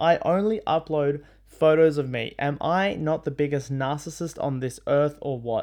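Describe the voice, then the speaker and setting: Against a quiet background, a man talks at a moderate pace in an animated tone, his fairly high pitch showing ordinary variation. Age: 20s. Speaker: podcast host. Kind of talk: casual monologue. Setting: home bedroom.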